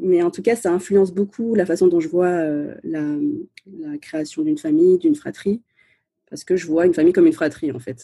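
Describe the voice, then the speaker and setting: A woman with a dark, mellow tone talks at a moderate pace. Her pitch swings very widely and her loudness shifts in big swings. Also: medium pitch for a woman. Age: 30s. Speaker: podcaster and former lawyer. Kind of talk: casual interview. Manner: hesitant, many fillers.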